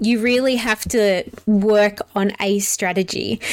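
Noticeable background noise sits behind a woman who talks at a very slow pace. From South Australia. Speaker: board game podcast host. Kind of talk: casual chat.

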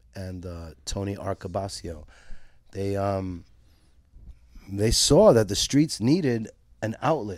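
The speech comes very slowly with a Brooklyn accent, long, frequent pauses, big swings in loudness, and ordinary pitch variation. The recording is very clean, with a silent background. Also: man, fairly low pitch for a man. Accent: New York (Brooklyn). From Brooklyn, New York (East Flatbush, Williamsburg). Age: 50s. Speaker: skate shop owner. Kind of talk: interview. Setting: in a shop.

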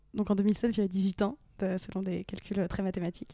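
A woman speaks in a dark, mellow tone. The sound is dry and close, with no echo. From northern France, Picardie (Aisne). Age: 30s. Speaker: actress and YouTube influencer. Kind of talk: casual interview chat. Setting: at home on a couch. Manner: hesitant, many fillers.

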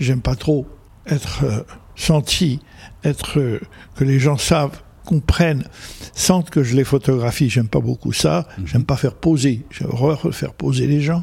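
A man with a fairly high pitch and a dark, mellow, somewhat breathy tone speaks at a fairly slow pace. His pitch varies in an ordinary way, and he leaves long, frequent pauses. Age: 80s+. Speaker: photojournalist. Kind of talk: interview.

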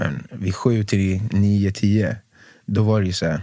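In a dry, close sound with no echo, a man with a fairly low pitch uses an ordinary speaking voice with fairly even intonation. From Sweden, Stockholm southern suburbs. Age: 30s. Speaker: singer, former professional basketball player. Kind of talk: casual chat.

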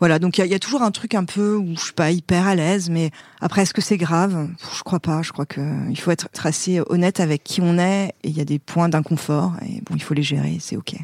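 The sound is dry and close, with no echo. The intonation stays fairly even. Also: woman, fairly low pitch for a woman. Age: 40s. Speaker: company director in consulting. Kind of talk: interview conversation. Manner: hesitant fillers.

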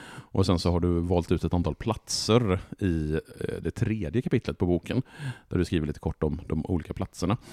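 Speaking at a moderate pace, a man with a very deep, low pitch and a dark, mellow tone shows ordinary pitch variation in a dry, close sound with no echo. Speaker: podcast host. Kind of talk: casual chat. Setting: home living room.

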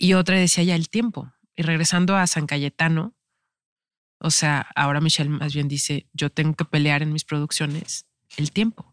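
In a dry, close sound with no echo and a very clean recording with a silent background, a woman with a very deep, low pitch speaks at a moderate pace with fairly even intonation. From Mexico, Veracruz and Tampico. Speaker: actress. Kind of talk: casual interview chat. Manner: halting with many fillers.

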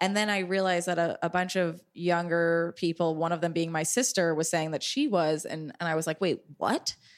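A woman talks at a moderate pace in a normal speaking voice with fairly even intonation. The recording is very clean with a silent background. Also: fairly low pitch for a woman. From New York City, Upper East Side. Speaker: comedian and podcast host. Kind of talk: casual chat.

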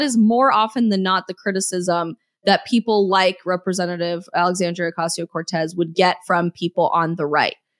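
Recorded very cleanly against a silent background, a woman with an American accent talks in an ordinary speaking voice. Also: hardly any pauses, dry, close sound with no echo. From Colorado. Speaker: political influencer and author. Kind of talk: casual chat.

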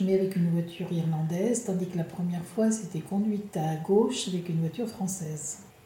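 A woman at medium pitch and moderate pace, with noticeable background noise and audible room echo. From France, La Rochelle. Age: 60s. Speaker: retiree traveller. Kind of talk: interview testimony.

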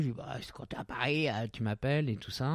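A man's medium-pitched, dark, mellow voice with ordinary pitch variation. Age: 50s. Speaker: journalist. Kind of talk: casual interview about his sex life. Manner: hesitant, many repetitions.

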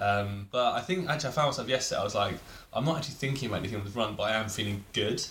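Audible room echo carries a man's medium-pitched voice as he speaks at a very fast pace with ordinary pitch variation. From England. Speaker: friend of the host. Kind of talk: casual chat.

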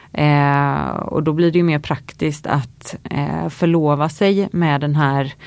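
A woman's very deep, low voice with fairly even intonation and noticeable background noise. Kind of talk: casual interview chat. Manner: hesitant, many fillers.

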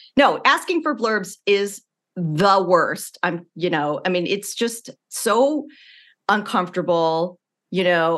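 A woman with an American accent and medium pitch, an unremarkable speaking voice, speaks at a fairly slow pace with lively intonation in a quiet background. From US Midwest, Illinois. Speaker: former TV writer and author. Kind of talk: casual interview chat.

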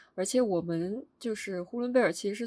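A woman talks with a medium pitch, a plain, everyday voice and lively intonation. The recording is very clean, with a silent background. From Hulunbuir, eastern Inner Mongolia. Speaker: podcast co-host. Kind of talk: casual chat.

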